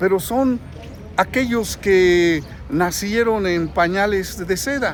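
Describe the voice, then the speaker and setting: Speech moves at a very slow pace with ordinary pitch variation. Background noise is noticeable. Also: man, high pitch for a man. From central Mexico, Guanajuato. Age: 60s. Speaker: political commentator vlogger. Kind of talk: vlog monologue. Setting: in a queue at a bank, public place.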